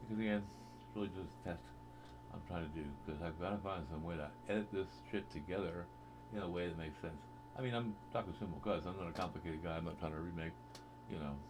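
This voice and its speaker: A man with a very deep, low pitch and lively intonation speaks at a very fast pace with long, frequent pauses, amid noticeable background noise and audible room echo. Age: 60s. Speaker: vlogger. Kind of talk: casual monologue. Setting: home webcam recording. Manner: hesitant, with frequent fillers.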